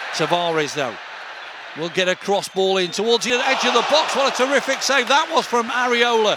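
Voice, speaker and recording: A man speaks in an extremely high pitch, his voice raised and projected over noticeable background noise. His pace is fairly quick and his intonation lively. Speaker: hospital radio presenter and football commentator. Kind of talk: scripted show intro then live football commentary. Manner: brisk, running description of the play, building to admiring exclamations; hesitant with fillers mid-commentary.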